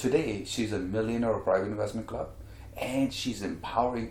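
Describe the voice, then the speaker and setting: In a room with audible echo, a man speaks at a medium pitch in a somewhat breathy voice. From India. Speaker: real estate mentor and speaker. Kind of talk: interview.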